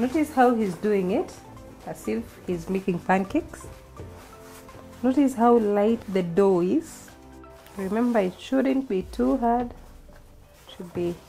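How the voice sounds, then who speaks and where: A woman speaking at a very slow pace, faint music in the background. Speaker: home cook host. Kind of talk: tutorial. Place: kitchen. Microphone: camera far.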